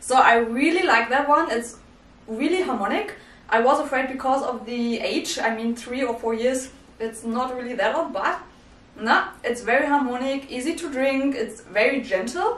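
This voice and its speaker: A woman with a non-native accent speaks at a moderate pace and a high pitch. Her pitch varies in an ordinary way, and room echo is audible. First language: not English. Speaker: whisky reviewer. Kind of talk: casual talk to camera. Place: home room.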